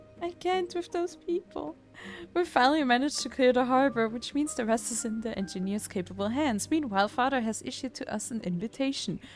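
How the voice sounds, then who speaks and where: Music plays in the background as a woman speaks at a fairly quick pace. Her high voice moves in very wide pitch swings. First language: not English. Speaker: vtuber gaming streamer. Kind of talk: casual let's play commentary with reading dialogue aloud. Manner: animated.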